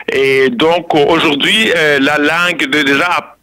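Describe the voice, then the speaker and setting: This man has a Rwandan accent and a fairly high pitch. His tone is bright and sharp, and he speaks at a very slow pace. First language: Kinyarwanda (speaking French). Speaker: political columnist. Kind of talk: interview. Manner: halting.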